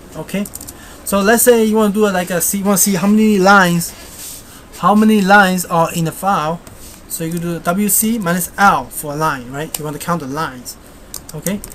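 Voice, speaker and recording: In a Chinese accent, a woman talks at a fairly quick pace and a medium pitch, with ordinary pitch variation and long, frequent pauses. Noticeable background noise runs underneath. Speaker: software tutorial maker. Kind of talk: screencast tutorial. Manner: halting, many fillers; casual.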